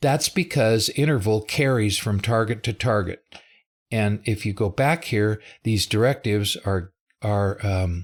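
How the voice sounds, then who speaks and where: A plain, everyday voice speaks at a fairly slow pace with ordinary pitch variation and very even loudness. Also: man, fairly low pitch for a man. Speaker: software developer presenting a live webinar. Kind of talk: live tutorial webinar.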